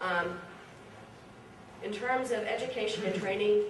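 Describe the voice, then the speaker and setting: Amid noticeable background noise and audible room echo, a woman of medium pitch talks at a moderate pace with fairly even intonation. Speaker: conference speaker, project representative. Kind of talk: conference presentation. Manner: frequent fillers and restarts.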